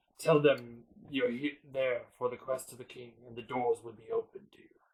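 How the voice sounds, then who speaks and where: This is a put-on character voice at a moderate pace. Its loudness swings widely. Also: man, medium pitch for a man. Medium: actual play. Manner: loud, formal.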